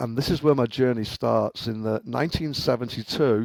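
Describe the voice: With a Liverpool accent, a man talks at a fairly quick pace with a slightly mellow tone and vocal fry, the sound dry and close with no echo.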